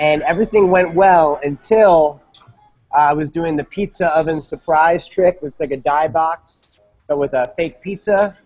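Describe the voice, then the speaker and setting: With faint music behind him, a man with an American accent talks at a fairly high pitch, his intonation fairly even but his loudness swinging widely. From US Midwest, St. Louis; US Midwest. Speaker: magician, former kids' party entertainer; guest. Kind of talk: panel discussion. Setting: video call from a coffee shop. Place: home room. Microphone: video call.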